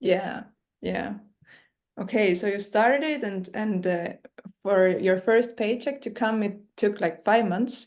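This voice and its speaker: The speaker talks at a very slow pace with a non-native accent and ordinary pitch variation. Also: woman, medium pitch for a woman. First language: not English. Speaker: interviewer. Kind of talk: interview.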